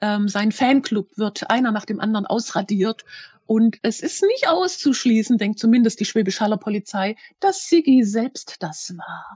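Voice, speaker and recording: Somewhat breathy and fairly high in pitch, a woman speaks at a fairly slow pace with lively intonation. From Germany, Schwäbisch Hall (Hohenlohe). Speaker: crime novelist. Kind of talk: interview.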